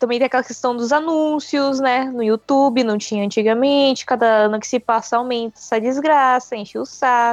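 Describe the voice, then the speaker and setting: In a quiet background with a dry, close sound and no echo, a woman speaks at a moderate pace in a high pitch with fairly even intonation. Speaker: podcaster. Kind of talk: casual chat.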